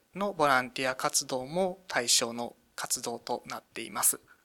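On a very clean recording with a silent background, a man speaks in a raised, projected voice at a fairly slow pace. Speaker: municipal government staffer. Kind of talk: radio interview.

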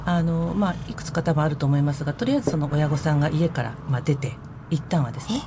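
Over noticeable background noise, a woman talks at a very fast pace with a very deep, low pitch. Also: ordinary pitch variation. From Tokyo, Nerima ward. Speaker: head of a support group, former social recluse. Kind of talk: radio interview.

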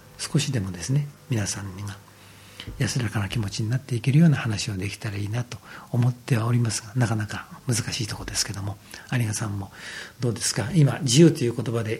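Against noticeable background noise, a man talks fairly quickly at a medium pitch, with ordinary pitch variation and big swings in loudness. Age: 50s. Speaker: Buddhist temple priest. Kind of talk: radio talk. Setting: temple room. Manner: polite, formal.

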